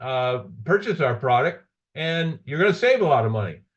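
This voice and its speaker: Somewhat breathy, this man talks at a moderate pace with a fairly high pitch. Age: 60s. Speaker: business presenter. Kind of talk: sales pitch. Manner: halting.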